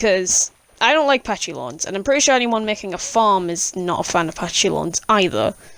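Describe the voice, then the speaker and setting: Lively and fairly quick, a woman with a British accent speaks at medium pitch. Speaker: gaming YouTuber. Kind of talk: gameplay voiceover commentary. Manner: casual, with hesitations.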